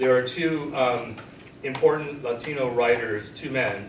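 The speaker is a man. Audible room echo and light background noise fill the recording. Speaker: guest professor. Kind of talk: discussion talk. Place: classroom. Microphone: camera far.

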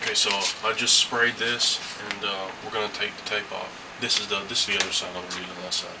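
The speech comes at a very fast pace against loud background noise. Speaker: mask painter. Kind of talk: craft tutorial narration. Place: home room. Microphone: camera far.

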